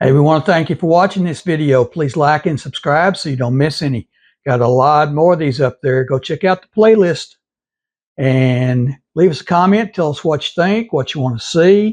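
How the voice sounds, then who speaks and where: A man with a Texas accent, fairly high in pitch, at a moderate pace with ordinary pitch variation, over a quiet background. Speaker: gaming video creator. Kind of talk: channel outro; gameplay commentary.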